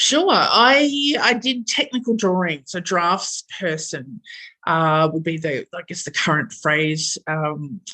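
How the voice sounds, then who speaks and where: In an Australian accent, a woman speaks very slowly with a bright, sharp tone and fairly low pitch. Her pitch swings very widely, and the background is quiet. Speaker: engineer and project manager. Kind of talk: interview. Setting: podcast recording. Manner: hesitant, many fillers.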